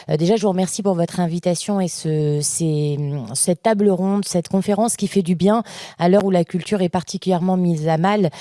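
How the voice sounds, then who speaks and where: In a very clean recording with a silent background, a woman talks at a fairly quick pace with a medium pitch, a dark, mellow tone, very even loudness and fairly even intonation. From France, Seine-Saint-Denis. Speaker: local government culture director. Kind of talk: audience comment. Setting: conference with audience.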